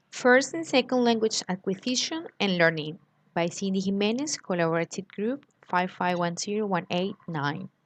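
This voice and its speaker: A woman's medium-pitched voice moves at a moderate pace with lively intonation. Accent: Colombian. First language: Spanish. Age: 20s. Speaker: graduate student. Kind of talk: recorded class presentation.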